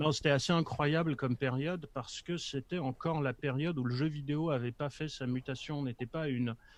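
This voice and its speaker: A man's fairly even intonation with hardly any pauses. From Poland. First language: Polish (speaking French). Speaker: communications professional, former games press officer. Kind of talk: casual chat.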